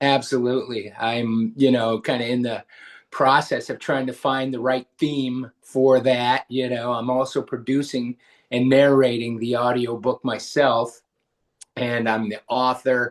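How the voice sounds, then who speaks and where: A man talks at a medium pitch and a fairly slow pace. His intonation is monotone and flat against a quiet background. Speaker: musician and author. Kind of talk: interview. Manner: halting.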